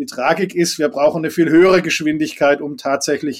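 In a Swabian accent, a man talks at a moderate pace in a fairly high voice, captured in a very clean recording with a silent background. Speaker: environmental foundation executive, former politician. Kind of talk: interview.

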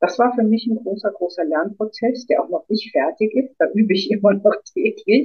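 A woman with a plain, everyday voice and fairly high pitch speaks at a moderate pace. Her intonation is lively. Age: 50s. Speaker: author and former midwife. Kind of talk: interview.

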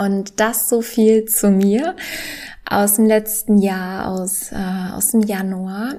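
Speaking very slowly, a woman keeps her intonation fairly even. Her pitch sits in the medium range. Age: 20s. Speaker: podcast host and professional tennis player. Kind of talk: solo podcast monologue. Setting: home living room.

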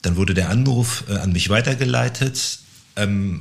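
A somewhat breathy man's voice, fairly low in pitch, with ordinary pitch variation. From Bielefeld, Germany. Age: 40s. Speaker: agency founder. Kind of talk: casual interview. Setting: studio.

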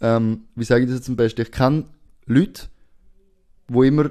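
A man with a Swiss accent speaks at medium pitch and a fairly quick pace. His tone is dark and mellow, over a quiet background. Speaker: podcast host. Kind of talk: casual chat.

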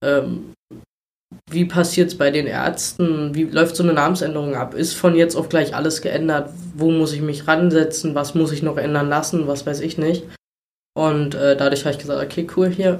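The man's voice sits at a fairly high pitch. His intonation is monotone and flat. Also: moderate pace. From Brandenburg, Germany. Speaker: volunteer firefighter. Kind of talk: interview. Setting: in person at guest's town. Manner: hesitant with many fillers.

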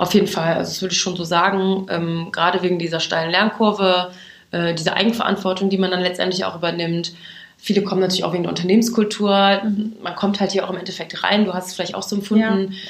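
Racing at a very fast pace, a woman speaks at medium pitch in a monotone, flat intonation, with audible room echo around her. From western Germany, Aachen. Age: 20s. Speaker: recruitment marketing employee. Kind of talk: interview. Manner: hesitant with many fillers.

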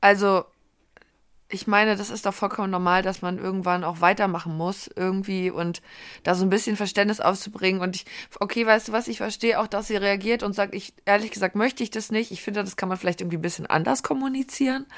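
On a very clean recording with a silent background, a woman talks at a fairly quick pace in a normal speaking voice, her medium pitch held in fairly even intonation. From Berlin. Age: 30s. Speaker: podcast co-host. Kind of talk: casual chat.

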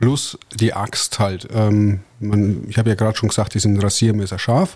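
Somewhat breathy and medium in pitch, a man talks at a moderate pace. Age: 30s. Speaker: forestry worker and competitive lumberjack athlete. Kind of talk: casual interview.

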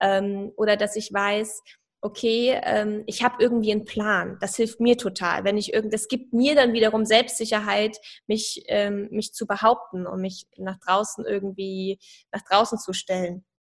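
A woman's normal speaking voice, fairly high in pitch, fairly slow, with fairly even intonation. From Saarland, Germany. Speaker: personal branding coach. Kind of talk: podcast interview.

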